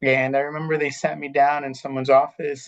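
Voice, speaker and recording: In an American accent, a man speaks at a moderate pace and medium pitch with fairly even intonation. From Riverside, California (US). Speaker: school district administrator. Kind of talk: informational webinar. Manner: conversational, with fillers.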